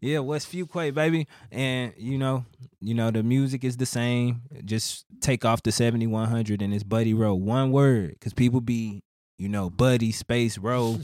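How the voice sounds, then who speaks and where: Someone with a Houston accent speaks at a moderate pace, with ordinary pitch variation. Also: man, medium pitch for a man. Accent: Houston Southern US. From Missouri City, Houston area, Texas. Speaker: rapper. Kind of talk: casual interview.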